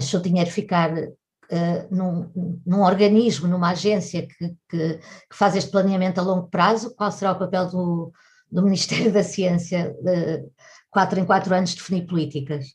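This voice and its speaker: A woman's somewhat breathy voice keeps fairly even intonation while its loudness swings widely. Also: medium pitch for a woman, moderate pace. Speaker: journalist interviewer. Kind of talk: interview.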